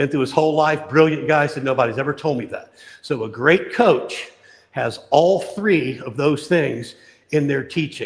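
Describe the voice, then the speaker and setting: Somewhat breathy and animated in tone, the voice keeps a moderate pace with ordinary pitch variation. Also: man, fairly high pitch for a man. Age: 60s. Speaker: boxing coach. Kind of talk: tutorial. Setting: live stream.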